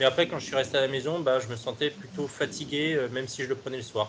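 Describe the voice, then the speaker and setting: Noticeable background noise behind a man at medium pitch, moderate pace, and ordinary pitch variation. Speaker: hypnosis client. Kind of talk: interview. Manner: halting.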